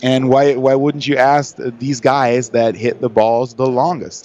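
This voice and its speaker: A man's medium-pitched voice in a German accent, at a moderate pace with fairly even intonation. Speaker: long drive golfer. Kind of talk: interview. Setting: trade show.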